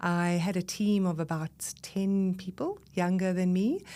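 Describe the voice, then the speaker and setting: On a very clean recording with a silent background, a woman with a South African accent speaks at a fairly low pitch in a dark, mellow tone. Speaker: breath leadership expert and voice coach. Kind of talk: podcast interview. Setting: podcast recording.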